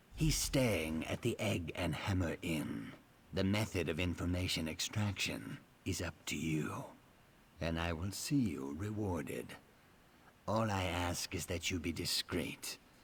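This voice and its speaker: A man puts on a character voice, talking fairly slowly with a very deep, low pitch. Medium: video game. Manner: measured, dry, precise.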